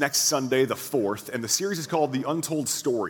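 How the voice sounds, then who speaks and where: A man's plain, everyday voice at medium pitch, fairly quick pace and ordinary pitch variation. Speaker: pastor. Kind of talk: church announcements. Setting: church with audience.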